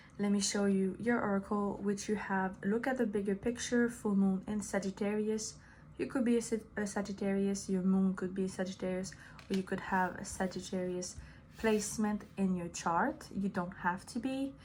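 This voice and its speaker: Somewhat breathy and with a French accent, a woman speaks at a medium pitch with fairly even intonation. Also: moderate pace. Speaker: tarot reader. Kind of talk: tarot reading monologue. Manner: casual, hesitant with fillers.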